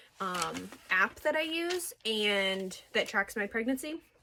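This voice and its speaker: In a very clean recording with a silent background, a woman speaks with a bright, sharp tone. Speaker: vlogger. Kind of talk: casual chat.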